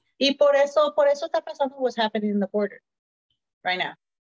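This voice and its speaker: A woman talks at a fairly quick pace with a Spanish accent. Her ordinary pitch variation comes through a dry, close sound with no echo. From Mexican heritage. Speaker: podcast guest. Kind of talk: political talk show.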